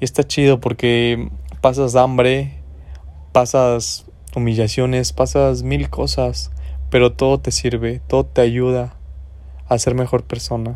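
Speaking at a very slow pace with a central Mexican accent, a man with a fairly low pitch swings his pitch very widely and leaves long, frequent pauses. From Mexico, Guanajuato. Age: 20s. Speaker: podcaster. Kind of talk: motivational monologue. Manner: casual, rambling with repetitions.

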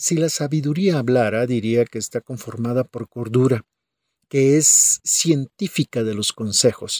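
A man talks in an ordinary speaking voice. His pitch varies in an ordinary way, and the sound is dry and close with no echo. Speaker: pastor. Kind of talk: sermon.

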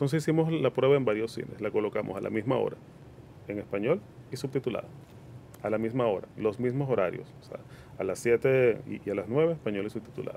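The voice is a normal speaking voice, moving at a fairly quick pace with ordinary pitch variation. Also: man, medium pitch for a man. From Venezuela, Caracas. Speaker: cinema chain operations manager. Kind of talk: radio interview.

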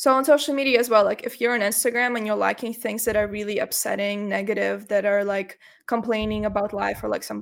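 In a very clean recording with a silent background, a woman with a Russian accent talks at a fairly quick pace in a fairly high pitch, with vocal fry. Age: 20s. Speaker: university student and content creator. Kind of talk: interview. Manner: animated.

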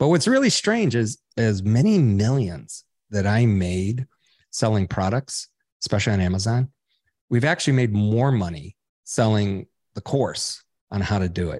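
Here a man with an American accent speaks at a moderate pace in an ordinary speaking voice, fairly low in pitch with ordinary pitch variation. The sound is dry and close with no echo, against a quiet background. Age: 60s. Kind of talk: interview.

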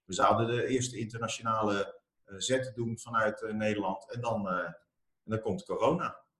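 At a moderate pace, a man talks in an unremarkable speaking voice with a medium pitch and ordinary pitch variation. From Armenia. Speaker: entrepreneur, company founder. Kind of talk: interview.

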